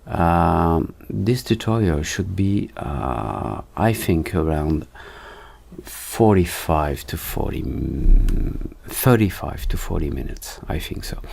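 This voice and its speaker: Against noticeable background noise, the speaker goes at a very slow pace with very wide pitch swings. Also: man, very deep, low pitch for a man. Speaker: 3D and motion design teacher. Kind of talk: tutorial. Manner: halting, many fillers.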